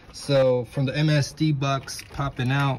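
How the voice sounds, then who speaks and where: A man's flat, monotone voice over light background noise. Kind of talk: tutorial. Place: garage. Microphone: phone near.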